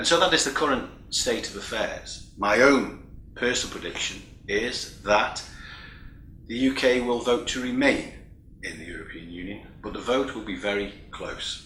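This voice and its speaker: In a British accent, a man with a medium pitch speaks at a moderate pace, his loudness swinging widely amid audible room echo. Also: ordinary pitch variation. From United Kingdom. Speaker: keynote speaker, EU vocational training official. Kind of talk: keynote speech. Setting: recorded remotely, not present in person. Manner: formal.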